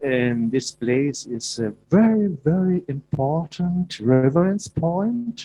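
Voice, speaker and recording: Music in the background behind a man with a German accent at a very slow pace. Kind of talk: prepared speech. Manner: halting.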